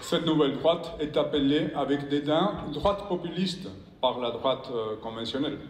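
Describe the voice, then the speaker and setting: In a Spanish accent, a man with a fairly high pitch talks at a fairly slow pace with ordinary pitch variation and audible room echo. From Spain. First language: Spanish (speaking French). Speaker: professor and former politician. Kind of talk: conference speech. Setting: stage with audience. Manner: reading from prepared text; halting, with repetitions.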